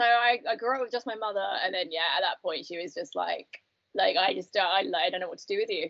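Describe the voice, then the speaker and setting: A woman talks at a very fast pace. She has a British accent. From UK. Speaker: recovering alcoholic. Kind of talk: interview answer.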